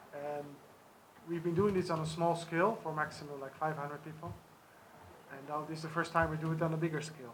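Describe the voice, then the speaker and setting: A man's fairly high voice at a very fast pace, monotone and flat, with big swings in loudness, long, frequent pauses and audible room echo. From Netherlands. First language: sign language. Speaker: charity organizer. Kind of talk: press conference.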